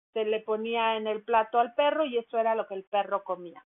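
A woman talks at a moderate pace. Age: 50s. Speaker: dog care podcaster, runs a dog daycare. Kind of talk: casual monologue. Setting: at home.

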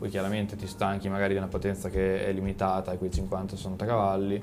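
Audible room echo and noticeable background noise accompany speech at a fairly quick pace. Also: man. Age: 20s. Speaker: YouTube motorcycle content creator. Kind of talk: casual chat.

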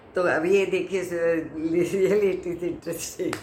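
Audible echo from the room surrounds a woman as she talks. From Mumbai, India. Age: 60s. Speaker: actress sharing life story. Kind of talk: personal testimony.

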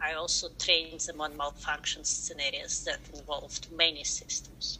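A woman with a Russian accent talks with big swings in loudness. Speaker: science educator. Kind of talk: interview.

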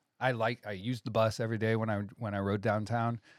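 At a moderate pace and with fairly even intonation, a plain, everyday voice is heard in a very clean recording with a silent background and a dry, close sound with no echo. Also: man. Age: 40s. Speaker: sandwich shop owner. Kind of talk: casual chat. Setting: studio.

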